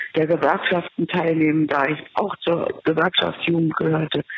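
A woman speaks in a fairly low pitch. Noticeable background noise runs behind her. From Berlin. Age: 70s. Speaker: listener. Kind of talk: voice message.

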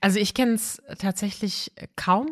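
Her voice is somewhat breathy, a woman of medium pitch with fairly even intonation. The sound is dry and close, with no echo. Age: 30s. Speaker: podcast host. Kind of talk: interview conversation.

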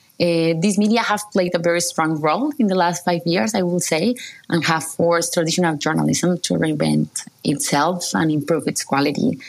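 A woman's fairly low voice in a Spanish accent, at a moderate pace with hardly any pauses, very even loudness and ordinary pitch variation. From Colombia. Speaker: journalist. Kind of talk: interview.

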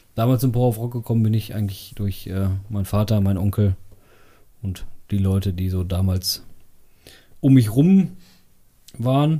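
A man with a fairly low, dark, mellow, somewhat breathy voice speaks at a moderate pace with ordinary pitch variation and long, frequent pauses. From Sauerland, Germany. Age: 30s. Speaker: rock club vice chair and drummer. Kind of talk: casual chat. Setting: home basement recording.

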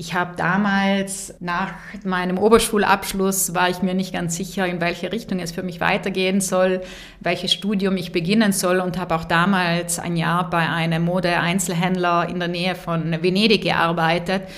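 The speech moves at a moderate pace in a monotone, flat intonation. Room echo is audible and background noise is noticeable. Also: woman, medium pitch for a woman. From South Tyrol, Bolzano. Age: 30s. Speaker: business executive. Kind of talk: interview. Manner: many hesitations (äh, ähm).

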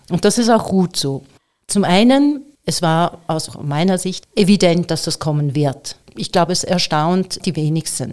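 In an ordinary speaking voice, a woman talks at a fairly slow pace with fairly low pitch and lively intonation. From Switzerland. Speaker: AI entrepreneur and speaker. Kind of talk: interview.

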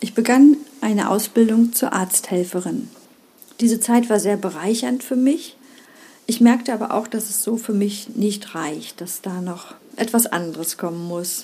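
At a fairly slow pace, a woman with a fairly high pitch uses an ordinary speaking voice. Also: ordinary pitch variation, big swings in loudness. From East Germany. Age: 50s. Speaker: primary school teacher and podcast host. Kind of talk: solo podcast monologue.

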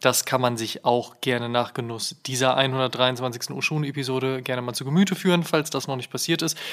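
Medium-pitched male voice at a moderate pace, with fairly even intonation, hardly any pauses and noticeable background noise. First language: German. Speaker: podcast host. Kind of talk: interview.

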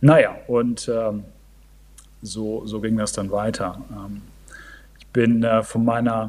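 A man speaks at a very slow pace. His medium-pitched voice has a dark, mellow tone. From northern Germany. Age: 40s. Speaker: amateur triathlete. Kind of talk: casual chat. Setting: video call. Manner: halting.

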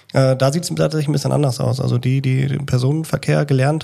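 A man's medium-pitched voice, with fairly even intonation, comes through noticeable background noise. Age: 30s. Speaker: train driver and instructor. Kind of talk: casual interview.

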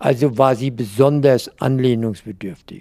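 A man speaks at medium pitch in a dark, mellow tone. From Mainz. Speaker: retired banker. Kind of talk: interview reminiscence.

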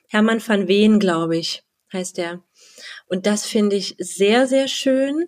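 At a very slow pace, a woman of medium pitch speaks with lively intonation in a dry, close sound with no echo. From Halle (Saxony-Anhalt), eastern Germany. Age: 30s. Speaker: wedding and funeral speaker. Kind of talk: interview.

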